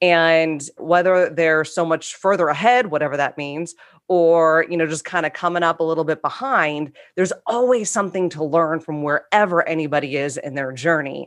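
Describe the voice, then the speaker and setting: At a moderate pace, a woman speaks in a normal speaking voice with ordinary pitch variation. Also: fairly low pitch for a woman. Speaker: coach, collective member. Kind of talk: casual discussion.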